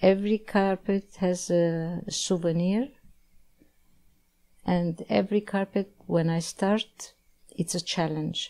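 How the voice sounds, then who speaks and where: In a very clean recording with a silent background, a dark, mellow voice moves at a very slow pace with fairly even intonation and long, frequent pauses. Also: woman, medium pitch for a woman. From Egypt, Alexandria (Armenian family). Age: 70s. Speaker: philanthropist and carpet maker. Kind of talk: interview. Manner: halting.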